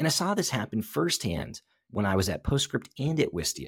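A man talks at a fairly quick pace and medium pitch, with vocal fry. His pitch swings very widely, and the sound is dry and close with no echo. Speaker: podcast host. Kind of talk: interview conversation.

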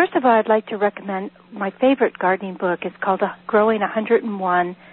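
The speaker has an American accent and a moderate pace. Background noise is noticeable. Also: woman. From Northern California. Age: 50s. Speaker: herbalist and author. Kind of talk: live radio interview.

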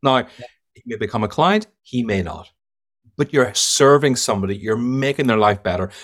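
A man's medium-pitched voice in an Irish accent, with big swings in loudness. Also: ordinary pitch variation, moderate pace. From Ireland. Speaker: sales trainer and keynote speaker. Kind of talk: casual podcast interview.

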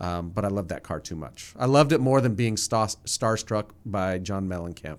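A man with an American accent and a normal speaking voice, fairly low in pitch, with lively intonation, a moderate pace and hardly any pauses. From New Jersey, near New York City. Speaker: nonprofit ministry chief executive. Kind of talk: casual interview chat.

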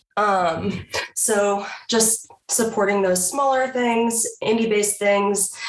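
At a very slow pace, a woman speaks in a medium pitch with fairly even intonation and very even loudness. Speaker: media specialist. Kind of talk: casual chat.

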